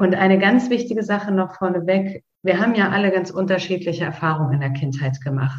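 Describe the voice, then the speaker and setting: With a somewhat breathy quality, the woman talks using ordinary pitch variation. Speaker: podcast host guiding a meditation. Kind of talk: guided meditation. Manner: slow, calm, soothing, with long pauses; gentle, directive, intimate.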